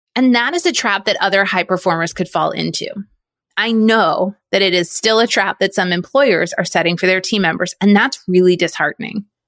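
A woman's normal speaking voice at medium pitch, very even in loudness, with a dry, close sound and no echo. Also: ordinary pitch variation, fairly quick pace. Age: 40s. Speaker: podcast host. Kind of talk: solo monologue podcast.

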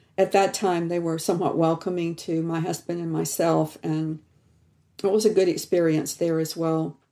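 Her tone dark and mellow, a woman with an American accent speaks in a monotone, flat way at a moderate pace. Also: fairly low pitch for a woman. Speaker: theology professor. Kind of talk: interview.

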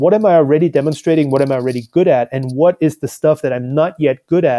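Dry and close with no echo, the recording captures a man with a fairly high pitch and a dark, mellow tone, talking at a fairly quick pace with ordinary pitch variation. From Austria, small town near Salzburg. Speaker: tech product manager. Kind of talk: interview.

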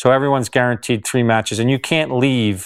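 Against a silent background in a very clean recording, a man with a New Jersey accent talks at a fairly quick pace and medium pitch with fairly even intonation. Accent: American, New Jersey. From US, New Jersey. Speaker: tennis agent. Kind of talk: interview. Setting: on location at a tennis club.

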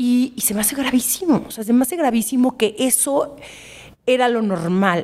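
This woman's high-pitched voice varies in an ordinary way and keeps to a moderate pace. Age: 30s. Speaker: writer and influencer. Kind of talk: casual chat.

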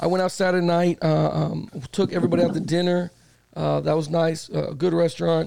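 Over noticeable background noise, a man speaks at a fairly quick pace with very even loudness. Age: 40s. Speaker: sports podcast host. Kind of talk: casual chat. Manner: animated.

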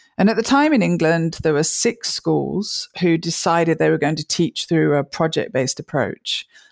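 A woman with a fairly low pitch and vocal fry is heard in a very clean recording with a silent background and a dry, close sound with no echo. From English Midlands, near Birmingham. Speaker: mathematics education professor. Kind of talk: interview.

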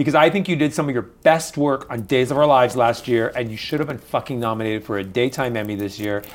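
Speaking at a very fast pace with hardly any pauses, a man keeps a medium pitch and ordinary pitch variation. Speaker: podcast co-host. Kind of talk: casual chat. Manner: excitable.

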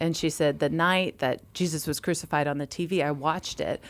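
Speaking at a fairly quick pace with fairly even intonation, a woman with an American accent has a very deep, low pitch on a very clean recording with a silent background. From Massachusetts. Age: 40s. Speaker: obstetrician. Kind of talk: casual chat.

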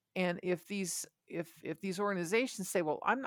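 Vocal fry runs through this moderately paced delivery in an American accent. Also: woman. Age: 60s. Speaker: adoptee. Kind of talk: interview. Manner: halting.

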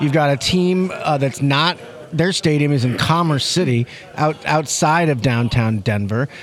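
A man with a fairly high voice speaks at a fairly slow pace. His pitch varies in an ordinary way, his loudness stays very even, and noticeable background noise runs underneath. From St. Louis, Missouri. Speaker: sports columnist. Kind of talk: casual chat.

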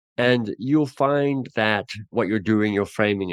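The sound is dry and close, with no echo. A man is speaking against a quiet background. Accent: Australian. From Australia. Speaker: author and coaching trainer. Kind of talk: interview conversation.

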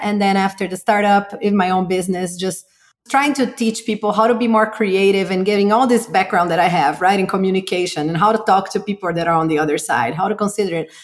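Speaking with a Portuguese accent at a fairly quick pace and hardly any pauses, a woman keeps a medium pitch and ordinary pitch variation. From Brazil. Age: 40s. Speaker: marketing entrepreneur. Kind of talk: interview.

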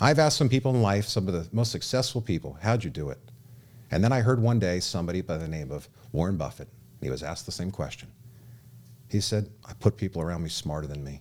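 A man with an American accent at a very fast pace, very deep and low in pitch, with very wide pitch swings and big swings in loudness. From Southern California. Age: 30s. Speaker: radio host and memoir author. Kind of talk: radio talk show. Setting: studio.

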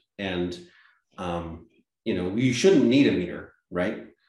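Amid audible room echo, a man with an American accent talks at a very slow pace with ordinary pitch variation. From Massachusetts, US. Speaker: organic farmer and nonprofit director. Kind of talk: interview.

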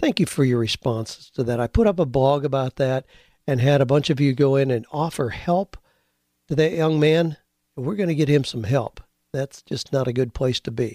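Ordinary pitch variation marks this man's ordinary speaking voice, which is fairly high in pitch. He speaks at a moderate pace. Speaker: radio host and career coach. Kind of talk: casual podcast monologue with sponsor reads.

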